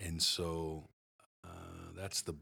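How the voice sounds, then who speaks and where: A man speaks at a very deep, low pitch in a bright, sharp tone. His intonation is fairly even, and the recording is very clean with a silent background. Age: 50s. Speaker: lead pastor and podcast host. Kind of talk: casual chat.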